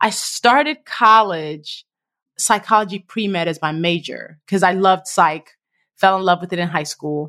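A plain, everyday voice from a woman at medium pitch, moderate pace and ordinary pitch variation, on a very clean recording with a silent background. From Nigeria, moved to US at nine. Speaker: author and blogger. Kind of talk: interview.

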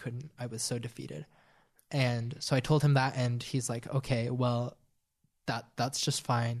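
Against a quiet background, a man with a medium-pitched, somewhat breathy voice talks at a moderate pace in a flat, monotone delivery. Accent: American. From rural central Utah, Sevier County. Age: 20s. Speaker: former missionary. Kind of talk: personal testimony interview.

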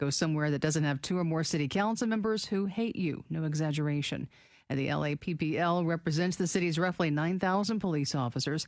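In a normal speaking voice, a woman speaks with a fairly low pitch and ordinary pitch variation, recorded very cleanly against a silent background. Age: 30s. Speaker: radio co-host. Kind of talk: news reading.

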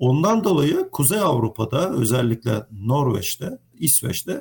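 Vocal fry runs through this man's fairly slow speech. The pitch of his voice swings very widely. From Turkey, Izmir. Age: 40s. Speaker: mechanical engineer. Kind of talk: interview.

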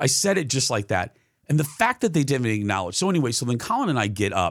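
A man at medium pitch with very wide pitch swings, in a very clean recording with a silent background. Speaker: podcast host, TV and radio host. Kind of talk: casual chat.

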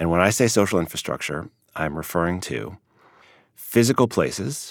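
An American-accented man speaks at a moderate pace with lively intonation and vocal fry, in a very clean, dry, close recording with no echo and a silent background. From US Midwest, Chicago. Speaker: sociologist. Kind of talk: interview.

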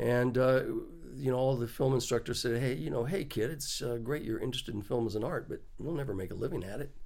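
A man with an American accent at a medium pitch, very fast pace and ordinary pitch variation, amid audible room echo. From Texas, small town. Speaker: Steadicam operator. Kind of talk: casual interview. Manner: halting, many fillers.

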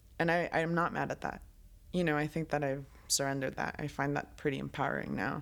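In a Spanish accent, a woman with a very deep, low pitch speaks at a fairly quick pace in a flat monotone with vocal fry, on a very clean recording with a silent background. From Colombia. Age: 20s. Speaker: writer and producer. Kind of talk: casual interview.

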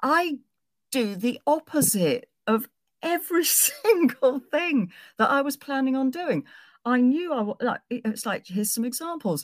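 Speaking at a fairly slow pace, a woman with an English accent uses a high pitch and lively intonation in a very clean recording with a silent background and a dry, close sound with no echo. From southwest England. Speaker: singer and novelist. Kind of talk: storytelling.

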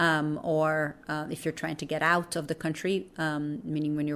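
A woman's voice with a Portuguese accent. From Brazil. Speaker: documentary filmmaker. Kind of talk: interview. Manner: many fillers and hesitations.

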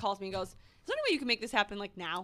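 Here a woman with an American accent has a fairly high, bright, sharp voice with ordinary pitch variation. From Minnesota. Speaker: pop culture podcast host. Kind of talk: casual chat.

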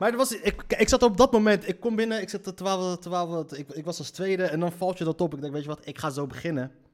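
A man with a high pitch and an energetic tone speaks at a moderate pace, his pitch swinging very widely, on a very clean recording with a silent background. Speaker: podcast host and comedian. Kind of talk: casual monologue. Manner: halting, many fillers.

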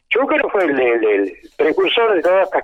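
A man speaking at a moderate pace. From Argentina, Santiago del Estero. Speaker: folk dancer and dance teacher. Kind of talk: interview. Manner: halting, with frequent repetitions.

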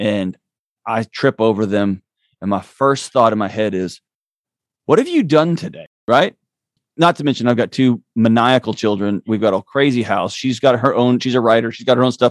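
Speech with an American accent comes at a moderate pace, with ordinary pitch variation and a dry, close sound with no echo. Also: man, medium pitch for a man. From Texas. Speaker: author and mental health expert. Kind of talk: interview. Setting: remote call. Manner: halting.

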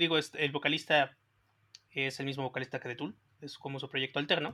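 At a very fast pace, the speech comes through a very clean recording with a silent background. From Mexico. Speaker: music podcast co-host. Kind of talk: casual chat.

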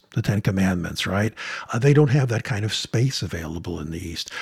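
An ordinary speaking voice from a man, fairly low in pitch, with lively intonation. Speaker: film professor. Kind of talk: interview.

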